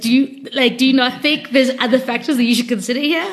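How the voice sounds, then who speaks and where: At a very fast pace and a high pitch, a woman speaks with fairly even intonation over noticeable background noise. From South Africa. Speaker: podcast co-host. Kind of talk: casual chat.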